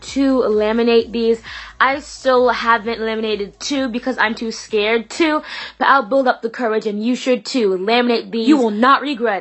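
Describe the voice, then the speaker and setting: A woman speaks with a fairly high pitch. Noticeable background noise runs underneath. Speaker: DIY video creator. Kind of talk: tutorial. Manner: stuttering; casual, hesitant with fillers.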